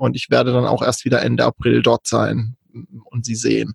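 A somewhat breathy man at a moderate pace, with a dry, close sound and no echo. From southern Baden, Kaiserstuhl. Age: 40s. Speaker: digital nomad, virtual assistant. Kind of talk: casual interview.

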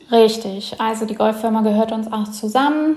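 A woman speaks in a fairly high voice. Noticeable background noise can be heard. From Germany. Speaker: emigrant and entrepreneur. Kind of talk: interview.

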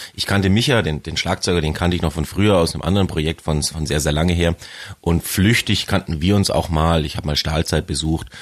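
Talking at a very fast pace, a man uses a very deep, low pitch and fairly even intonation. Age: 30s. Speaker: metal band bassist. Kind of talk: casual interview. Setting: studio.

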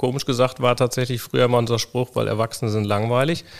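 A man's voice at a medium pitch. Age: 40s. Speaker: co-founder of a children's wheelchair company. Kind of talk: interview. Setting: on location in company workshop. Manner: halting with many fillers.

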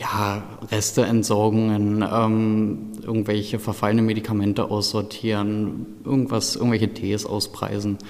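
A man speaks fairly slowly, his pitch fairly low. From eastern Germany, Brandenburg. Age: 20s. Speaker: pharmacy technician trainee. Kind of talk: interview.

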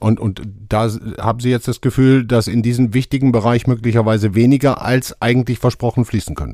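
The tone is dark and mellow. The speech moves at a fairly quick pace with fairly even intonation. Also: man, medium pitch for a man. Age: 50s. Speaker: podcast host. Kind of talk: interview.

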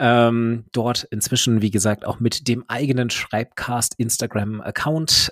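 Recorded very cleanly against a silent background, a man speaks very slowly at a medium pitch, with ordinary pitch variation and a dry, close sound with no echo. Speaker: podcast host. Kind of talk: interview.

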